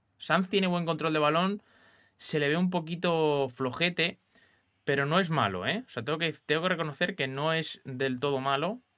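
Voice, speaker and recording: A man with a fairly high pitch, a bright, sharp tone, ordinary pitch variation and a moderate pace, over a quiet background. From Spain. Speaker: gaming youtuber. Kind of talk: gameplay commentary. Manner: animated. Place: home room.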